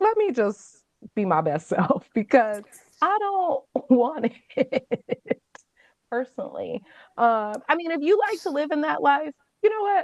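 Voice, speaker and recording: A woman speaks fairly slowly in a high pitch with very wide pitch swings. She pauses often and at length. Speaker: astrology show host. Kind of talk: casual chat. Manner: halting.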